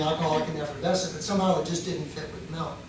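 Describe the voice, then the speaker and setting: With audible room echo and noticeable background noise, a man speaks very fast at a high pitch. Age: 60s. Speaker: dairy owner giving a talk. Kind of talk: lecture. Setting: university club talk with audience. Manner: animated.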